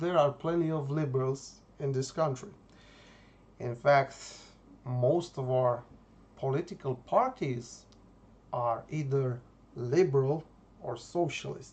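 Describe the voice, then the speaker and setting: The speaker talks fairly slowly in a Romanian accent. Long pauses come often. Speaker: YouTuber, political commentator. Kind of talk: monologue vlog. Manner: hesitant, many fillers.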